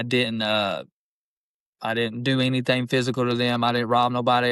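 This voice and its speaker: Delivered in an Appalachian accent, the speech has a monotone, flat intonation. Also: man. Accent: Appalachian Southern US. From Eastern Kentucky. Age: 20s. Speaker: rapper. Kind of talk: casual chat. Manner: rambling.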